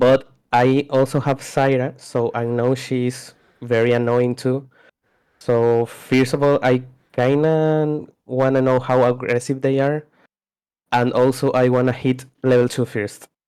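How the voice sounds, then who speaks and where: A man with a non-native accent speaks at a medium pitch and a fairly slow pace. His tone is dark and mellow, and his intonation is monotone and flat. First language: not English. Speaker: player being coached. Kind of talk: coaching session. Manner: halting.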